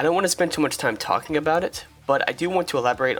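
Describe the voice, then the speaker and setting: Talking at a very fast pace with lively intonation, a man with a fairly high pitch is heard over noticeable background noise. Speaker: gamer, streamer. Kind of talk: video intro narration.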